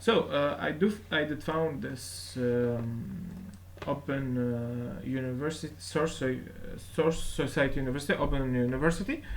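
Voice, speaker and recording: With a non-native accent and lively intonation, a man at a medium pitch talks at a moderate pace amid audible room echo. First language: not English. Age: 20s. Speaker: YouTuber and self-taught computer science learner. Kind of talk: casual vlog. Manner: halting, many fillers.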